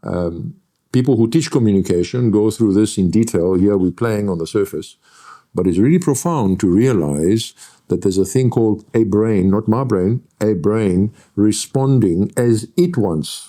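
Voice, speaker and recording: A man's fairly low voice with a dark, mellow tone, lively intonation, a moderate pace and a Greek accent. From Greece. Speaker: lecturer and NLP trainer. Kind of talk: interview.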